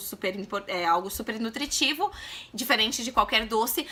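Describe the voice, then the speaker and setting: Noticeable background noise sits behind a woman whose raised, projected voice moves in very wide pitch swings. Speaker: mom vlogger. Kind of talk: casual vlog talk to camera. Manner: fast.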